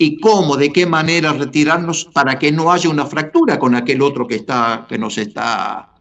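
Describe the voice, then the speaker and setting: Noticeable background noise behind a man with a fairly high pitch and lively intonation. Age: 80s. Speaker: pastor. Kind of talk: podcast panel discussion. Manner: halting, many repetitions and fillers.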